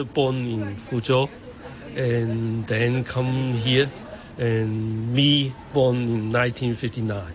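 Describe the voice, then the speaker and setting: A man speaks with a Hong Kong accent. Noticeable background noise runs under his voice. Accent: Hong Kong Cantonese-accented English. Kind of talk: interview.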